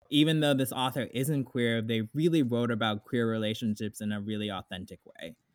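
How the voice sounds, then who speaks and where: A man's unremarkable speaking voice with an American accent, medium in pitch, fairly quick and with hardly any pauses. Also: ordinary pitch variation. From South Florida. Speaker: ballet dancer and book club leader. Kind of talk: casual interview.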